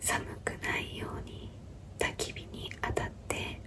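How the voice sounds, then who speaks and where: Noticeable background noise fills the clip. Over it, a voice whispers. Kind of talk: whispered bedtime story narration. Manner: whispering, soft-spoken.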